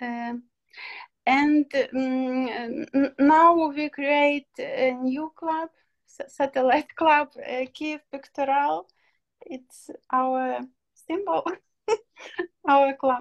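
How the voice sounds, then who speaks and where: A woman speaks at a very slow pace with a Ukrainian accent, her voice high and her pitch variation ordinary. The sound is dry and close with no echo, and long pauses come often. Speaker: psychologist. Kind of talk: self-introduction at online meeting. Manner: halting, many fillers.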